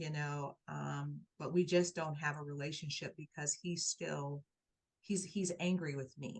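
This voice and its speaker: At a fairly slow pace, a woman talks in a somewhat breathy, very deep and low voice with fairly even intonation. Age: 60s. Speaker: life coach and author. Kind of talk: interview testimony. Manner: repetitive, halting with restarts.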